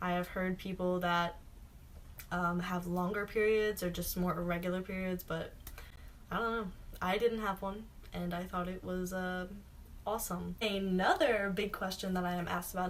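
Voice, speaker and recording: At a moderate pace, a woman talks in a plain, everyday voice. Her pitch is medium and her intonation stays fairly even. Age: 20s. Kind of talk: casual talk to camera.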